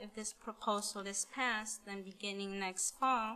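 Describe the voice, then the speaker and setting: The speaker talks fairly slowly in a Spanish accent, with flat, monotone intonation and a bright, sharp tone. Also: woman. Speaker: parent giving public comment. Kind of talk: public comment at school board meeting. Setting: school board meeting.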